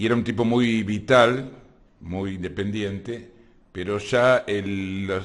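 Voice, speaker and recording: A man speaks very slowly in an Argentine accent, his pitch fairly low and his intonation fairly even. Audible room echo surrounds the recording. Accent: Rioplatense Argentine Spanish. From Argentina, Buenos Aires area (Lanús/Avellaneda). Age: 60s. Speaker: activist working on provincial hospital issues. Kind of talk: casual interview.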